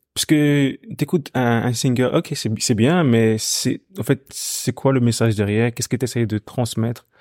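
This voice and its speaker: A man in a plain, everyday voice speaks at medium pitch with ordinary pitch variation, a fairly slow pace and hardly any pauses, on a very clean recording with a silent background and a dry, close sound with no echo. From Ghana, moved to Belgium at 9-10. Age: 20s. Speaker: singer. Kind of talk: interview conversation.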